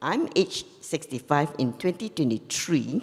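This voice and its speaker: A woman with a Singaporean accent speaks at a fairly slow pace. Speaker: forum panelist. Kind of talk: panel discussion.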